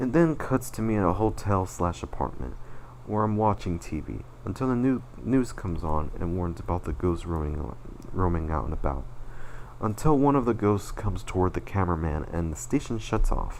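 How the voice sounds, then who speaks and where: A man's very deep, low voice at a moderate pace, with very wide pitch swings. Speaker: animator and channel owner. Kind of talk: personal retrospective presentation. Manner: slurred words; halting, self-correcting.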